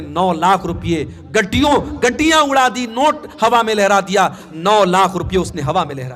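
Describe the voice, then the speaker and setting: The speaker is a man with a high voice. His pitch swings very widely. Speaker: Islamic preacher. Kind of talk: sermon. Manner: impassioned.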